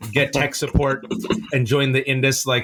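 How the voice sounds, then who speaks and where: A man with an American accent speaks over noticeable background noise. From US West Coast, Bay Area (Fremont), Pakistani family. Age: 40s. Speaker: playwright. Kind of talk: podcast interview. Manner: fast, animated storytelling.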